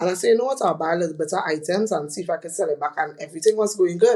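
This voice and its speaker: A woman is speaking. She has a Trinidadian accent. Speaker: fashion retail entrepreneur. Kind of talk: podcast interview. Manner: loud.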